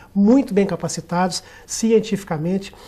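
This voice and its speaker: At a moderate pace, a man talks with a high pitch and a dark, mellow tone. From Minas Gerais, Brazil. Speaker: dentist, union director. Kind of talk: TV talk show interview. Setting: TV studio, live. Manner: formal, eloquent.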